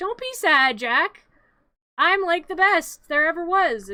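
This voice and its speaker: The pitch is extremely high. A woman performs it in a put-on character voice. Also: fairly slow pace. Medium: virtual streamer. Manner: casual, dude-speak.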